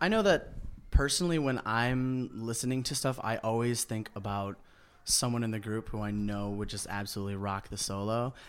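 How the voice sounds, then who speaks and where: Speaking fairly quickly in a normal speaking voice, a man keeps a medium pitch with ordinary pitch variation, on a very clean recording with a silent background. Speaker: a cappella group member. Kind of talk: casual interview chat.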